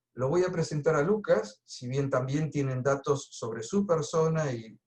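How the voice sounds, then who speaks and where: Somewhat breathy and fairly high, a man's voice moves at a moderate pace with ordinary pitch variation. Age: 60s. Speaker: coach and trainer. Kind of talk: webinar presentation. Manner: casual.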